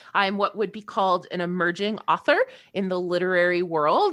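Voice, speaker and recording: Here is a woman with a plain, everyday voice, medium in pitch, in a Canadian accent. The recording is very clean, with a silent background. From Canada. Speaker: aspiring novelist. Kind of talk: casual chat.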